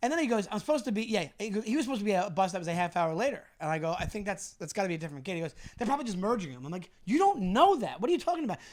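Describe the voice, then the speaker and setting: A man's high, animated voice, very fast with hardly any pauses and very wide pitch swings. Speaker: comedian and podcast co-host. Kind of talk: casual chat.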